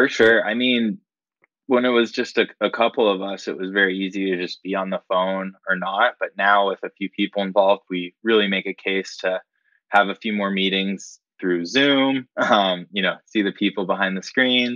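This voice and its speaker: A man with an American accent speaks in a plain, everyday voice, fairly low in pitch. His pace is moderate and his intonation fairly even. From Florida and Colorado, US. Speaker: company founder. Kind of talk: interview.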